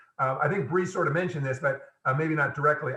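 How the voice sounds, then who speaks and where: Pitch variation in this man's voice is ordinary. He speaks fairly quickly. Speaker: engineering professor. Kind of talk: lecture. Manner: fast.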